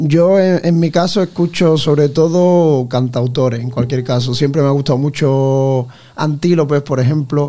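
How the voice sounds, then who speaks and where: A man with a fairly high pitch and a dark, mellow tone speaks at a fairly slow pace. His intonation is fairly even, with hardly any pauses. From Ayamonte, Huelva, Spain. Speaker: singer in a band. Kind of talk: radio interview.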